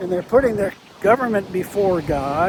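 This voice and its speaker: A man speaks at a high pitch with ordinary pitch variation while noticeable background noise runs underneath. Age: old. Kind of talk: casual talk to camera. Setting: outdoors. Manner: reflective.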